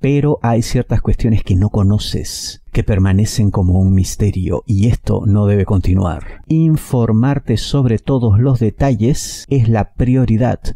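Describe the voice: A man talks at a fairly slow pace, his pitch fairly low and his tone dark and mellow. Vocal fry comes through, and his pitch varies in an ordinary way.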